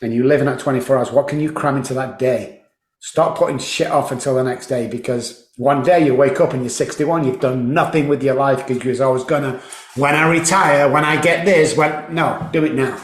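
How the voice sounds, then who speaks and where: Through audible room echo comes a man's voice with a fairly high pitch. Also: fairly quick pace. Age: 60s. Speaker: addiction recovery expert. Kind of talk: interview. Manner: animated.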